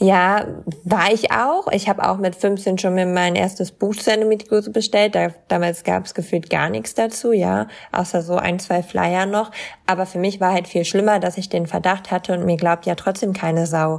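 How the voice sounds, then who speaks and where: This woman has an ordinary speaking voice, medium in pitch, delivered at a moderate pace with fairly even intonation. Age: 20s. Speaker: content creator and model with chronic illness. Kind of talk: casual interview.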